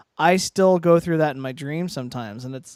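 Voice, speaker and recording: An unremarkable speaking voice at a moderate pace, with ordinary pitch variation, in a very clean recording with a silent background and a dry, close sound with no echo. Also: man. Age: 40s. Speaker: podcast co-host. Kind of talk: casual chat.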